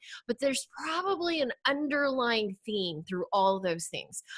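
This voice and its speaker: A woman speaks at a moderate pace with a fairly high pitch. Her tone is animated, bright and sharp. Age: 40s. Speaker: online marketing coach. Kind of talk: podcast interview.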